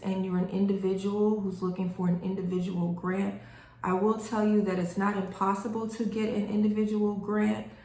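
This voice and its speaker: Over noticeable background noise and audible room echo, a woman speaks at a medium pitch with monotone, flat intonation. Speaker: grant writing instructor. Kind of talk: tutorial. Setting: recorded video reading notes. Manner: casual, with many fillers.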